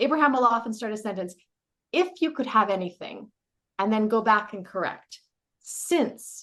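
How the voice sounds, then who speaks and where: The voice carries a bright, sharp and animated tone with lively intonation. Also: woman. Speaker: life coach. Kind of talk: casual interview chat.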